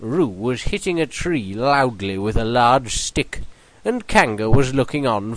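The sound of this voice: An unforced voice does the reading here.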